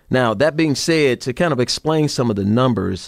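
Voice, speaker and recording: Speaking with an American accent, a man uses an ordinary speaking voice with ordinary pitch variation at a moderate pace, in a dry, close sound with no echo. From Chicago, South Side. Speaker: FBI executive and army veteran. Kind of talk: interview.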